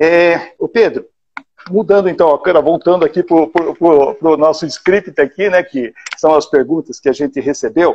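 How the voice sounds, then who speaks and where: A man speaks at a moderate pace in a high pitch with ordinary pitch variation. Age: 60s. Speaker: live show host, businessman. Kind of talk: casual interview. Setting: online live stream.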